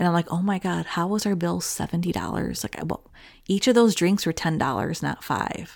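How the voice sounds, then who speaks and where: With ordinary pitch variation, an unremarkable speaking voice moves along at a fairly quick pace. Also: woman. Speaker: podcast host. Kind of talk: casual chat. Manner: storyteller, smooth.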